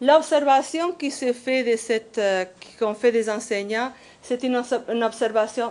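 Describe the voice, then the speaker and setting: With a non-native accent, a woman speaks high-pitched at a fairly slow pace, her pitch varying in an ordinary way. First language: not French (speaking French). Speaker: professor. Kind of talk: conference workshop presentation. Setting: conference workshop. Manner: halting.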